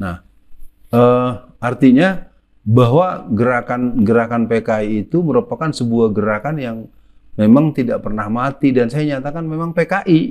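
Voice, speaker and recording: A man talks at a moderate pace and medium pitch, with ordinary pitch variation. He has an unremarkable speaking voice. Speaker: preacher and anti-communist speaker. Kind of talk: religious and political lecture in interview format. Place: home room. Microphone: lapel.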